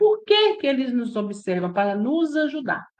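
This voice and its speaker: The woman speaks in a Minas Gerais accent. Her pitch is high. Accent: Minas Gerais Brazilian Portuguese. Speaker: spiritist study group leader. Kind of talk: religious study lecture. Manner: conversational, with frequent tag questions.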